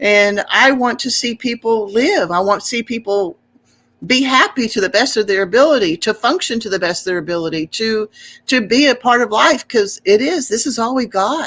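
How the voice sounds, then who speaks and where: Speaking at a moderate pace, a woman uses a plain, everyday voice. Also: fairly high pitch for a woman, lively intonation. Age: 60s. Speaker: homesteader and podcaster. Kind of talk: interview. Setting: live stream.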